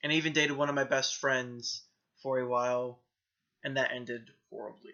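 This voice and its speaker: A man with an American accent talks at a fairly quick pace, his medium pitch held in monotone, flat intonation. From US South, Florida. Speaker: vlogger. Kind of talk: personal testimony vlog. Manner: hesitant, many filler ums. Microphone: poor camera quality.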